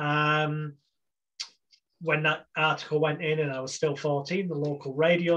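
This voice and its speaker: Fairly high in pitch, a man with an English accent speaks with monotone, flat intonation. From England. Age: 40s. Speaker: hypnotherapist. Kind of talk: interview.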